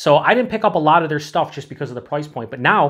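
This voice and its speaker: A man speaks at a very fast pace with ordinary pitch variation, and the background is quiet. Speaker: beer reviewer. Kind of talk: casual review chat. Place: home room.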